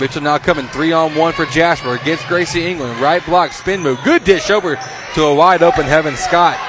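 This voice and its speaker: A man's fairly high voice at a fairly quick pace, with ordinary pitch variation and noticeable background noise. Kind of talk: live play-by-play sports commentary. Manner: rapid-fire, clipped, staccato player-name calls, pausing to react with excitement.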